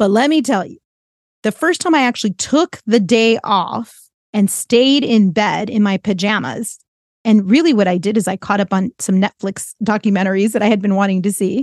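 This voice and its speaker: Against a quiet background, an ordinary speaking voice proceeds at a moderate pace, its pitch varying in an ordinary way. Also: woman, medium pitch for a woman. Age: 40s. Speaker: life coach and podcast host. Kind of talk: solo podcast monologue.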